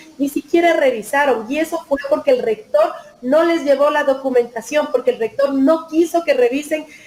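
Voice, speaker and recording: At a moderate pace, a woman speaks with a high pitch and ordinary pitch variation over noticeable background noise. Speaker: lawyer-activist, member of a legal collective. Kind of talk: interview. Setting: video call from her office.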